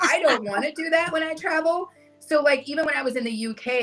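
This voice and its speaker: Noticeable background noise sits behind a woman with an American accent. She talks at a very fast pace. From US North. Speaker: travel content creator. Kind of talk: casual chat.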